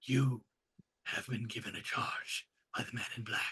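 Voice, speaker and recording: Using a put-on character voice, a man speaks at a very slow pace in a raspy, medium-pitched voice. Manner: grave, explanatory.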